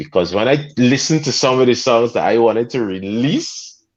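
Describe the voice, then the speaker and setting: Over a quiet background, a man with a Guyanese accent talks at a moderate pace and a medium pitch. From Guyana. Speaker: soca artist. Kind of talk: podcast interview. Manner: animated.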